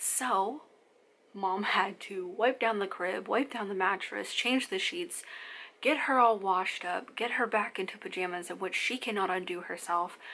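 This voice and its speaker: Soft-spoken, a woman talks at a moderate pace with a bright, sharp tone, medium pitch and ordinary pitch variation. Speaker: mom vlogger. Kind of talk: casual chat.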